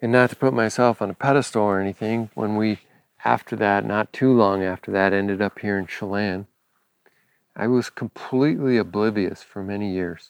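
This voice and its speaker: In a normal speaking voice, a man talks at a fairly low pitch and a moderate pace with fairly even intonation over a quiet background. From US West Coast, Los Angeles. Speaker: podcast host, farmer and former pastor. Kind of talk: casual monologue. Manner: relaxed, with frequent filler words.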